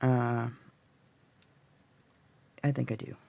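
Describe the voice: The speaker has a dark, mellow tone, a gravelly sound with vocal fry, very little pitch movement and a very slow pace. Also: woman, extremely low pitch for a woman.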